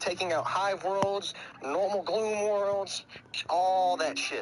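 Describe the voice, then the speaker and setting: A man talks with an American accent, high in pitch. There is noticeable background noise. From US South. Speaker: gaming streamer. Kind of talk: casual chat.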